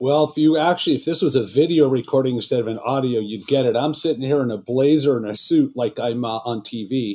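A man with an American accent has an ordinary speaking voice at medium pitch, with ordinary pitch variation. He talks at a fairly quick pace with hardly any pauses. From Los Angeles, California. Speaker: wealth management executive. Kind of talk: interview.

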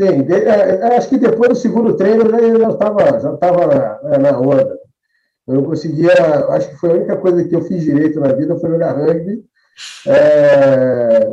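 Pausing long and often, a man with a high-pitched voice speaks at a moderate pace with lively intonation. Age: 50s. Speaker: rugby player and club figure. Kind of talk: casual interview chat. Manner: halting, repeats words.

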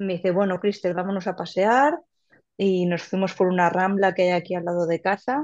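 A woman talks at a moderate pace and medium pitch with fairly even intonation. The background is quiet. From Valencia region, Spain. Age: 30s. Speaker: podcast listener sharing birth story. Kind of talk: personal testimony. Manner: halting, many repetitions and fillers.

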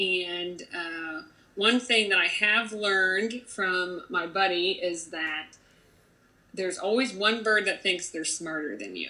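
In an American accent, a woman with medium pitch, ordinary pitch variation and a bright, sharp tone speaks at a very slow pace. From Ohio, rural small town. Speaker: magazine editor. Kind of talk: casual interview chat.

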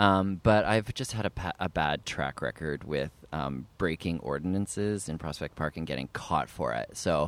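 A man with a Canadian accent speaks at a moderate pace with hardly any pauses, his very deep, low voice carrying vocal fry. His intonation is lively, and the sound is dry and close with no echo. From Canada, Ottawa. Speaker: actor and writer. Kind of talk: casual chat. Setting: outdoors in a park.

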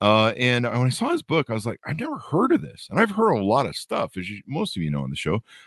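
Heard with a dry, close sound and no echo, a man speaks at a fairly quick pace. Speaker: podcast host. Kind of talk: casual interview. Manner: rambling improvised delivery.

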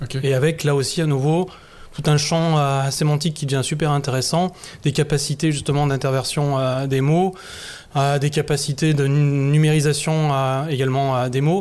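A man's fairly high voice at a moderate pace, monotone and flat in intonation, with very even loudness. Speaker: masonic grand master. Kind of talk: discussion. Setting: in front of a live audience.

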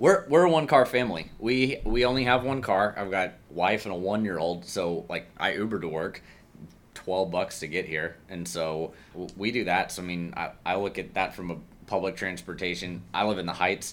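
A man with an American accent speaks in a very deep, low pitch. He keeps a moderate pace and ordinary pitch variation. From Houston, Texas. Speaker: energy tech CEO. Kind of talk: interview conversation. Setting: in-person office recording.

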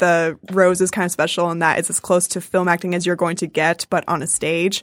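A woman with an American accent speaks at a fairly low pitch in monotone, flat intonation. The recording is very clean, with a silent background. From New Jersey and Michigan. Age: 20s. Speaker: stage actress. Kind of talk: casual interview.

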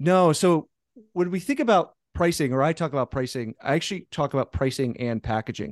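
In a dry, close sound with no echo and a quiet background, a man with an unremarkable speaking voice talks at a fairly quick pace, his fairly high pitch carried by lively intonation. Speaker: pricing consultant. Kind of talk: interview.

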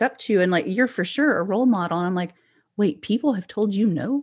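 Here a woman speaks with an American accent. Her pitch is medium. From rural Oklahoma. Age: 40s. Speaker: podcast host. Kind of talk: interview conversation.

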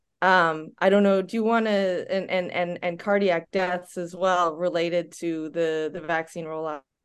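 A woman with an American accent speaks at a fairly low pitch and moderate pace, monotone and flat, with hardly any pauses and a quiet background. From United States. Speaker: podcast co-host, physician and researcher. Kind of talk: casual interview chat. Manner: halting, many fillers.

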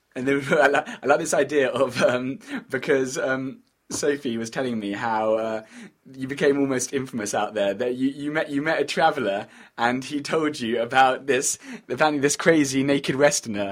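A man talks at a moderate pace with a medium pitch and ordinary pitch variation. It is an unremarkable speaking voice. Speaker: podcast host. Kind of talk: casual interview conversation.

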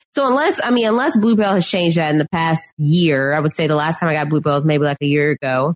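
The speaker talks at a very fast pace with an American accent and hardly any pauses. Loudness stays very even throughout. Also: woman, very deep, low pitch for a woman. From Texas (Houston area). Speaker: podcast guest. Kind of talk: casual chat.

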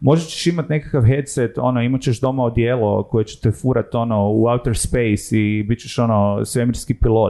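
This man's dark, mellow tone moves at a fairly quick pace with fairly even intonation. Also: medium pitch for a man, hardly any pauses, quiet background. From Croatia, Zagreb. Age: 30s. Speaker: sociologist and tech entrepreneur. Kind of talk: casual interview chat.

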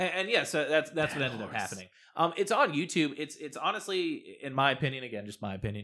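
A man talks very fast in a fairly high, bright, sharp voice with vocal fry and very wide pitch swings. His loudness varies greatly on a very clean recording with a silent background. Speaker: guest. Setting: studio.

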